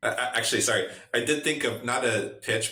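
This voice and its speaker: Audible echo from the room fills the recording. A man speaks fairly quickly. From Russia. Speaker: venture capital investor. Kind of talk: podcast interview. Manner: casual, many fillers and restarts.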